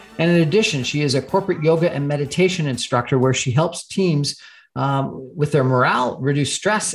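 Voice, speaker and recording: Somewhat breathy, this man talks at a fairly quick pace with ordinary pitch variation. The recording is very clean, the background silent. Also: hardly any pauses. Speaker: radio host. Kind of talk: radio interview. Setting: radio studio. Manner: halting, many fillers.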